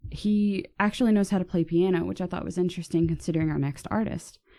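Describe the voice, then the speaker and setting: A woman's dark, mellow voice with an American accent, at a moderate pace with ordinary pitch variation. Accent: slight Texan accent, peeks out sometimes. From Texas. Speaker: podcast co-host. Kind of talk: casual chat.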